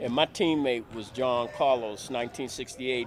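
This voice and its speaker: A man with an American accent at a moderate pace, with music in the background. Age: 70s. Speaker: sports interviewer. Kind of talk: interview. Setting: gym. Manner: animated.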